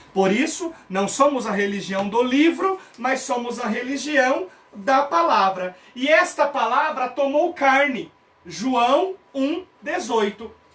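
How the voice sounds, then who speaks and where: A man speaks at an extremely high pitch and a very slow pace, with lively intonation. Noticeable background noise runs underneath. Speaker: theology teacher. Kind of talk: online lecture. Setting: live stream.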